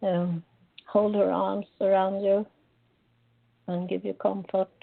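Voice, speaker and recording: Here a woman speaks at a very slow pace. She has a Swedish accent. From Sweden. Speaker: psychic medium. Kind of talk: live psychic reading on call-in radio. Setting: live call-in radio show.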